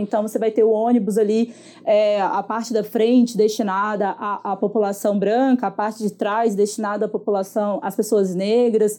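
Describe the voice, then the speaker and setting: A woman's fairly high, dark and mellow voice, monotone and flat, at a moderate pace. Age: 20s. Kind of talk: casual chat.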